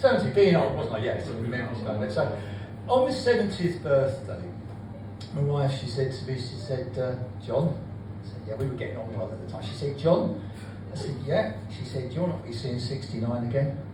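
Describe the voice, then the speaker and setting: A man speaks at a medium pitch, with noticeable background noise and audible room echo. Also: lively intonation, moderate pace. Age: 70s. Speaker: comedian. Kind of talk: stand-up. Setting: stage with audience.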